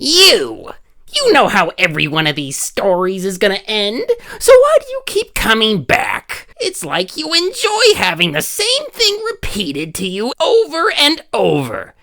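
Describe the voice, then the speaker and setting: A put-on character voice at a moderate pace. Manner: annoying, smug, con-man patter.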